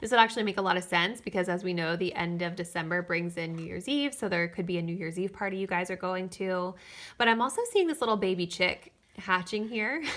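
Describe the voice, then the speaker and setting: Speech at a very fast pace with ordinary pitch variation comes through on a very clean recording with a silent background. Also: woman, medium pitch for a woman. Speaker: tarot reader. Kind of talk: tarot reading. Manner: animated.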